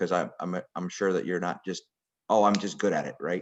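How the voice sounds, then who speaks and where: This man has a very deep, low voice. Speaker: girls soccer technical director. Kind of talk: interview questions.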